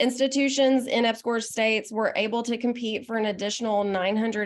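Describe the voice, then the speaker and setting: Against a quiet background, a woman with fairly high pitch speaks at a moderate pace with ordinary pitch variation. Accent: Southern US. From US South, Arkansas. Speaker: state economic development official, panelist. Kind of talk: panel presentation. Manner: informal, with filler words.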